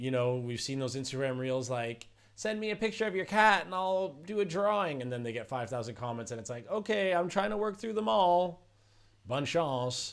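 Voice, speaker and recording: Speaking at a moderate pace, a man with a fairly high pitch sounds animated, his pitch swinging very widely. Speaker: songwriter and rapper teaching music making. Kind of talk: casual vlog talk to camera.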